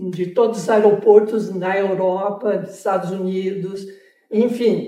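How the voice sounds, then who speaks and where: The voice keeps fairly even intonation, and audible room echo can be heard. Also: woman. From southern Brazil, Porto Alegre. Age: 80s+. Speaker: dance teacher and former gymnast. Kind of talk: interview.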